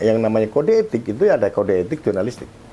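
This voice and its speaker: Through noticeable background noise, a man rushes along at a very fast pace with very wide pitch swings. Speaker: election ethics council chair, former journalist. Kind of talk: radio interview. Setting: guest's office. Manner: halting.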